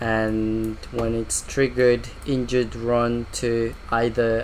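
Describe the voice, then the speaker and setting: A man speaks at a very slow pace. Audible room echo and noticeable background noise surround him. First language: not English. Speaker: VFX artist. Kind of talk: software walkthrough. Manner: halting, with fillers.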